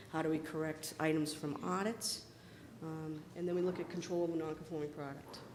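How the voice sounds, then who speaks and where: The speaker has an American accent and a fairly quick pace. Noticeable background noise sits underneath. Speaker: convention session instructor on recycling certification. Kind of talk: lecture. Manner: fast.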